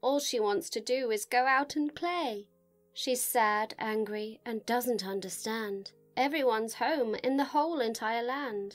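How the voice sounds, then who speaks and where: With music in the background, a woman speaks at a fairly slow pace in a fairly high-pitched voice with a warm, gentle tone. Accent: British. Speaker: voice over artist and actress. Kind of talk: children's picture book reading, CBeebies style. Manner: warm, gentle, storytelling.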